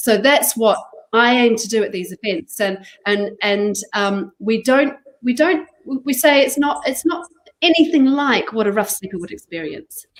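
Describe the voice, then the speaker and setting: A woman with a fairly high voice talks at a moderate pace. Her pitch swings very widely. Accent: slight New Zealand. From New Zealand. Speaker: charity chief executive. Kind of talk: interview. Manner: halting.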